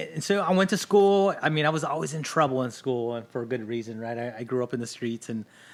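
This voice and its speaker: A man's fairly quick speech comes through on a very clean recording with a silent background. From Los Angeles area, California. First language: Spanish. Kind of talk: podcast interview.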